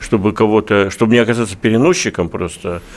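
A plain, everyday voice from a man, with ordinary pitch variation. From Russian Far East, Khabarovsk. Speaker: newspaper editor-in-chief, interviewer. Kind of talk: radio interview. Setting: studio.

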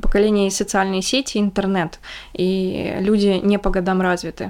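At a moderate pace, a woman talks in a plain, everyday voice of medium pitch. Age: 20s. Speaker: podcast co-host. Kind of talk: casual chat.

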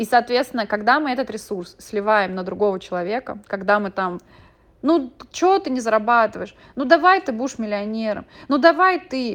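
Fairly high woman's voice with very wide pitch swings, quiet background. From Moscow, Russia. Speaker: gestalt therapist and podcaster. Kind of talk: monologue podcast. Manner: conversational.

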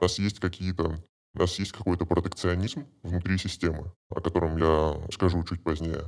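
On a very clean recording with a silent background, a man speaks at a moderate pace in a very deep, low pitch with flat, monotone intonation. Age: 20s. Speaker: brokerage sales employee. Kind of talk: podcast interview.

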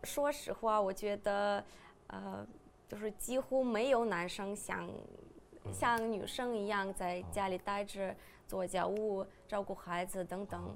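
Speaking very slowly in a Russian accent, a woman holds a medium pitch with fairly even intonation. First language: Russian (speaking Chinese). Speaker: podcast host. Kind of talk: casual chat.

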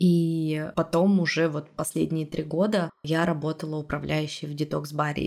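At a moderate pace, a woman speaks in a very deep, low voice with fairly even intonation. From Russia, Urals (Yekaterinburg). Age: 30s. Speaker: podcast producer and host. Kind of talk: casual interview.

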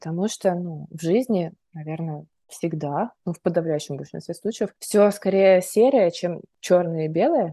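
With an unremarkable speaking voice, a woman talks fairly slowly with ordinary pitch variation, in a dry, close sound with no echo. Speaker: podcast host, psychologist. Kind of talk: casual interview chat.

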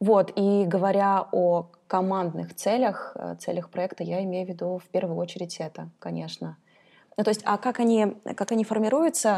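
Medium pitch from a woman with a dark, mellow tone, ordinary pitch variation, and a moderate pace, on a very clean recording with a silent background. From Kazakhstan. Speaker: head of an education department. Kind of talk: interview.

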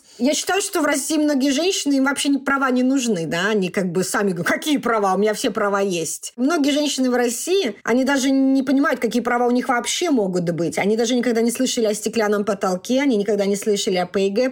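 Very fast, lively speech from a woman with a high pitch, hardly any pauses and very even loudness, against noticeable background noise. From Russia. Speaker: doctor. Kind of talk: interview.

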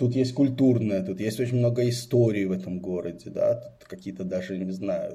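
In a room with audible echo, a man talks with a dark, mellow tone, somewhat breathy and with lively intonation. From Israel (born in Belarus, emigrated at 10). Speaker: venture investor and startup adviser. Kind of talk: casual interview chat.

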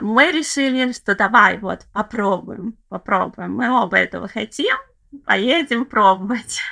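A woman with a fairly high pitch and vocal fry speaks at a very slow pace in a bright, sharp tone. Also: ordinary pitch variation. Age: 30s. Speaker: former city dweller living in a village. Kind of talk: casual interview chat.

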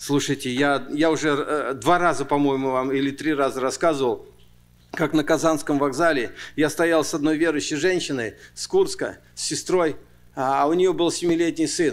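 With an ordinary speaking voice, a man talks at a fairly high pitch and fairly even intonation. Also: moderate pace. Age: 60s. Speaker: pastor. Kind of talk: sermon. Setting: church.

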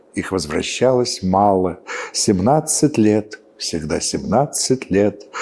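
Noticeable background noise sits under a man speaking at a very slow pace. His pitch is fairly low and his intonation lively. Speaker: historian commentator. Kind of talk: interview, explanatory.

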